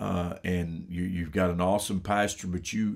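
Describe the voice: On a very clean recording with a silent background, a man with vocal fry speaks low and at a moderate pace, his slightly mellow tone carrying fairly even intonation.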